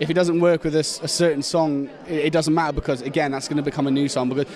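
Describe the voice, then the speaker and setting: A man with a Shropshire accent and a fairly high pitch at a very fast pace, over noticeable background noise. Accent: local Shropshire accent, mistaken for Welsh. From Shropshire, England. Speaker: heavy metal band member. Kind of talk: casual interview. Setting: music festival. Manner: animated, halting with fillers.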